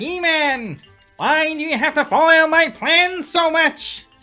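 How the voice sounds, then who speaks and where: A put-on character voice, high-pitched and fairly slow, over faint background music. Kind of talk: pompous, villainous. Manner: theatrical, scheming.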